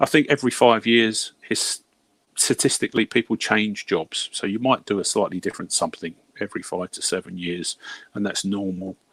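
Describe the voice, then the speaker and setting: With a British accent, a man speaks at a fairly low pitch and a fairly quick pace with ordinary pitch variation, the sound dry and close with no echo on a very clean recording with a silent background. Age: 60s. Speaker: hourly paid worker, former healthcare professional. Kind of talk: casual chat. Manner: halting.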